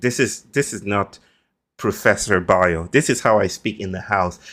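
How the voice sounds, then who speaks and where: Speaking with a Nigerian accent, a man uses a fairly low pitch, ordinary pitch variation, and a moderate pace on a very clean recording with a silent background. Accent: Nigerian (Yoruba) English. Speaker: philosopher and author. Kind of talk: podcast interview. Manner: formal, elaborate diction.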